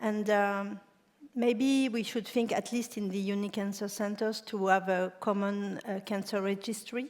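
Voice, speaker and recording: A woman in a French accent, medium pitch, fairly slow pace and monotone, flat intonation. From France. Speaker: cancer center director. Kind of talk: panel discussion.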